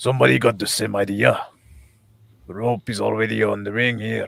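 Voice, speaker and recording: A man does a raspy, put-on character voice at a fairly low pitch. He keeps a moderate pace, with big swings in loudness. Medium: actual play. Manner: short, plain sentences.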